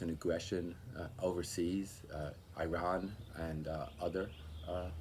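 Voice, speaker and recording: With an American accent, a man speaks at a very deep, low pitch and a fairly slow pace. He is somewhat breathy, with ordinary pitch variation. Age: 60s. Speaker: political activist. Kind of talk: interview testimony. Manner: hesitant, many fillers.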